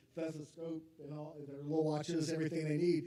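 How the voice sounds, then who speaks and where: Noticeable background noise runs under a man speaking at a fairly quick pace in a fairly high pitch. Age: 50s. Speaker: college academic advisor. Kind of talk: informational talk to parents. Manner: loud.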